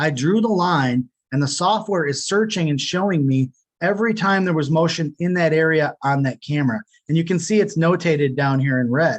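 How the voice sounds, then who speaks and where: A man talks fairly quickly, his fairly high voice rising and falling in an ordinary way. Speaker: product demo presenter. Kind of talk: webinar software demo. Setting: home office, webinar. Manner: fast.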